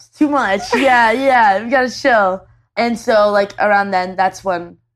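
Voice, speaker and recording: Against a quiet background, a woman with a plain, everyday voice and a Canadian accent speaks at a moderate pace with lively intonation. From Canada. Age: 20s. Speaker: YouTube video creator. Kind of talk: casual chat. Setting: on a couch in the same room as host.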